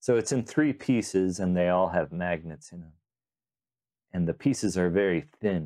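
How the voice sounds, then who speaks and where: A man's very deep, low voice has a dark, mellow, relaxed tone, lively intonation and big swings in loudness. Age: 40s. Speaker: magician and coin magic creator. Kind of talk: casual interview chat. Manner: slow, relaxed speaker.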